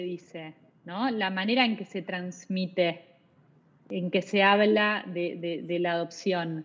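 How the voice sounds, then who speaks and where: A woman with a Rioplatense accent speaks at a medium pitch and a fairly slow pace. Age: 40s. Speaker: psychologist, adoption specialist. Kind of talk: interview.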